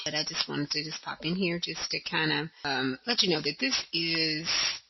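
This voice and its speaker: A woman's very deep, low voice at a moderate pace, with fairly even intonation and noticeable background noise. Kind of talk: religious teaching talk to camera. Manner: casual, hesitant, many fillers.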